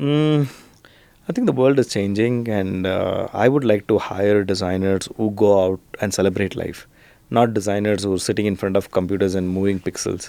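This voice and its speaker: With a dark, mellow tone and fairly low pitch, a man speaks at a moderate pace using ordinary pitch variation. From southern India, Karnataka. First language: Kannada or Telugu. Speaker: design studio founder and entrepreneur. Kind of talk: podcast interview.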